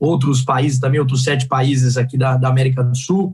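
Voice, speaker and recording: A man speaks in a somewhat breathy voice. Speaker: energy sector executive. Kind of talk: panel talk. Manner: fast.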